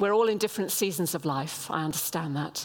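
Her pitch swings very widely as she talks at a fairly quick pace. Noticeable background noise runs behind this woman's voice. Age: 70s. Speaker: guest preacher. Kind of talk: sermon. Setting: church with congregation.

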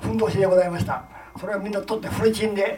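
A man speaks at a very fast pace and a high pitch. Noticeable background noise sits behind him. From Gifu, Ena. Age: 90s. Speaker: war veteran. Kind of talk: testimony. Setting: public event with audience.

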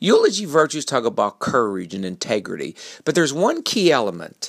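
A man talks with a warm tone and vocal fry. The recording is very clean, and the background is silent. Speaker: motivational speaker. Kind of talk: short motivational talk about eulogy virtues, delivered as a polished radio-style segment. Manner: earnest, warm, reflective, with a steady persuasive cadence.

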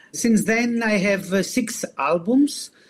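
A man speaks with a Greek accent. His pace is very slow. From Greece. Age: 40s. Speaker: singer-songwriter. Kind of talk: interview. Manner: halting.

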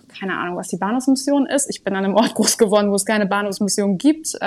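This woman's fairly high voice rises and falls in an ordinary way, captured on a very clean recording with no sound behind it. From northern Germany, Sylt. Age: 20s. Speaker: social work coordinator. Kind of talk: interview.

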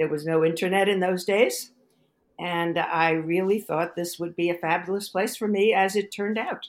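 In an American accent, a woman talks at a moderate pace. She has a plain, everyday voice with medium pitch and fairly even intonation. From Brooklyn, New York. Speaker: economics professor. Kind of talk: interview.

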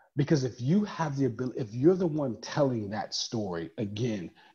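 An animated, somewhat breathy man with an American accent, at medium pitch, with lively intonation and a fairly quick pace. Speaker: professor of social work. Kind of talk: interview conversation.

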